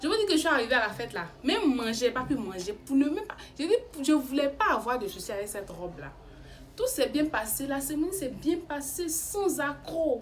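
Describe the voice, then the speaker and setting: Very wide pitch swings mark an animated tone delivered at a fairly quick pace. Noticeable background noise runs under the voice. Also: woman, high pitch for a woman. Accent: Ivorian. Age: 20s. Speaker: YouTuber. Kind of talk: storytelling. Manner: halting.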